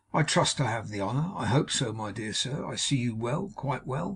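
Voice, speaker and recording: A man puts on a raspy character voice at medium pitch. He keeps a moderate pace with lively intonation. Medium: read story. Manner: gushing, repetitive.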